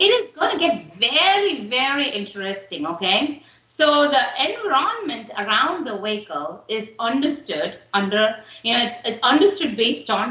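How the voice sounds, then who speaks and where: Speaking at a moderate pace with a Tamil accent, a woman makes very wide pitch swings and big swings in loudness over noticeable background noise. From India, Tamil Nadu. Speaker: instructor. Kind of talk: lecture. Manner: halting, many fillers.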